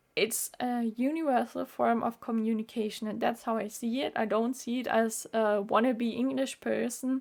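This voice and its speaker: On a very clean recording with a silent background, a woman with a German accent speaks fairly slowly at a fairly high pitch, her intonation fairly even. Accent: German-speaking accent in English, noticeable. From Austria. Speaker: YouTuber, medical student. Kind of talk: vlog monologue.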